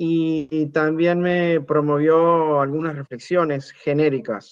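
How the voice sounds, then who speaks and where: A man with a fairly high pitch and fairly even intonation. He talks at a very slow pace. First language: Spanish (speaking French). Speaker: spiritual teacher. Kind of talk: talk in short segments for interpretation.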